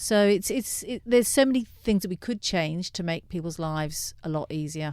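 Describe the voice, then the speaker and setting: At a moderate pace, a woman speaks in an English accent at medium pitch. Her intonation is lively. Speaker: director of a refugee legal aid service. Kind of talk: radio interview. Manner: halting, many fillers.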